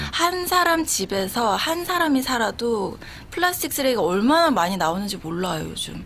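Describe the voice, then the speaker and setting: Noticeable background noise sits behind a woman whose fairly high voice swings very widely in pitch as she talks at a moderate pace. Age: 40s. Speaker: YouTuber, entrepreneur. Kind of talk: radio interview answer. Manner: chatty, casual.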